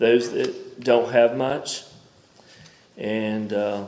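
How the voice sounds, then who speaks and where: Noticeable background noise and audible room echo surround a man speaking with a Mississippi accent. His pitch is medium, and his intonation is fairly even. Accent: US Southern (Mississippi). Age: 50s. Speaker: member of the public speaking at a county meeting. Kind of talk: public comment at a government meeting.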